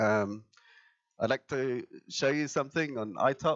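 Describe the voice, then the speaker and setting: In an English accent, the speaker talks very slowly with ordinary pitch variation against a quiet background. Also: man. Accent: English-accented English learned in England. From Germany, Tübingen; Germany. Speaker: IT company co-founder; conference presenter. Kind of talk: conference presentation. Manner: many fillers, hesitant. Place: meeting room.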